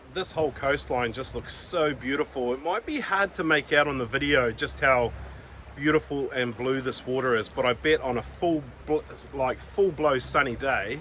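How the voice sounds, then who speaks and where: A man at medium pitch and moderate pace, ordinary pitch variation, over noticeable background noise. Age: 50s. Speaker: travel vlogger. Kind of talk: travel vlog narration.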